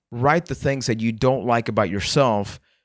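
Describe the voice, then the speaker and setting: A man's plain, everyday voice at a medium pitch with ordinary pitch variation and a moderate pace, dry and close with no echo on a very clean recording with a silent background. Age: 20s. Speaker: podcast host and mental health speaker. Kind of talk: personal storytelling monologue.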